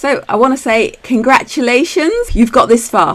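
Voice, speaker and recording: A woman speaks in a British accent over noticeable background noise. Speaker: retirement planning educator. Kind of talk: tutorial. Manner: fast.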